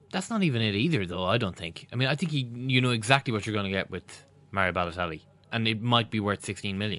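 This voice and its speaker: Speaking with an Irish accent, a man talks at a very fast pace. His fairly low pitch has ordinary variation and a bright, sharp tone. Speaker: football podcast co-host. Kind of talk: casual chat.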